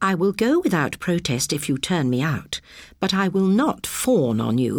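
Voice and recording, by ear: Someone reads aloud, and the voice sounds natural.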